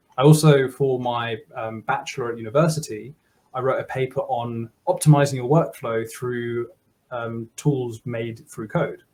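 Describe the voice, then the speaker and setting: Speaking at a fairly slow pace, a man sounds somewhat breathy, keeps his intonation fairly even, and shows big swings in loudness. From Germany. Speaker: software developer; guest. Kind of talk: casual interview. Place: home room.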